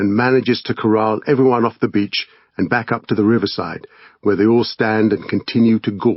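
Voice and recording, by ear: The passage is read aloud in a natural voice, the intonation fairly even throughout.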